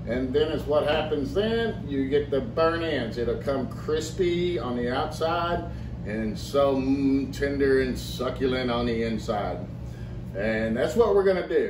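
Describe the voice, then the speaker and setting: A man talks at a fairly slow pace while noticeable background noise carries on behind him. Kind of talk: tutorial. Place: kitchen. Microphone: camera far.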